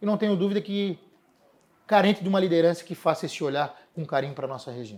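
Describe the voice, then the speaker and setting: In a strong Florianópolis accent, a man with a high pitch talks at a very fast pace with lively intonation, in a very clean recording with a silent background. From Florianópolis, Brazil. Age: 40s. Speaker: city environment secretary. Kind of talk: interview.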